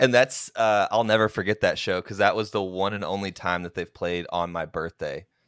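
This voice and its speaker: In an American accent, a man with an unremarkable speaking voice talks at a moderate pace with fairly low pitch and fairly even intonation, in a dry, close sound with no echo on a very clean recording with a silent background. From Oklahoma. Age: 30s. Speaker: podcast host. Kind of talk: casual chat.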